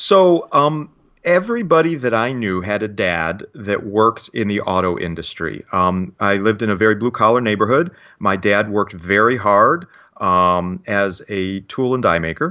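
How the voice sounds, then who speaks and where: Speaking at a moderate pace with lively intonation, a man with a Midwestern American accent has a fairly low pitch. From Michigan, Detroit area. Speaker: security instructor and company founder. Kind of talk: casual interview.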